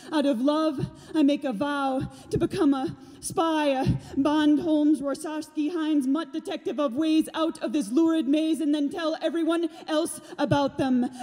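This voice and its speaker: A woman speaks in a dramatic, intense tone at a high pitch, keeping her intonation fairly even. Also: moderate pace. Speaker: slam poet. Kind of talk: spoken-word poetry performance. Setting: theater stage with audience. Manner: intense, emphatic, rhythmic, urgent delivery; dramatic, building to defiant, rallying peaks. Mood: raw, emotional. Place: stage. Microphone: studio mic.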